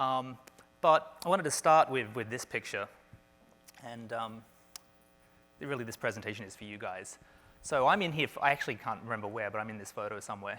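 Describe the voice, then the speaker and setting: A man with an Australian accent at a medium pitch, ordinary pitch variation, a fairly quick pace, long, frequent pauses and big swings in loudness. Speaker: space entrepreneur and commercial astronaut. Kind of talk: conference talk. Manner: casual, with fillers and restarts.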